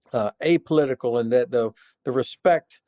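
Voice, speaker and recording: With an American accent, the speaker moves at a fairly quick pace, using lively intonation and a dark, mellow tone. The sound is dry and close, with no echo. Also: man. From US South, North Florida. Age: 60s. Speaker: retired army general. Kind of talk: interview.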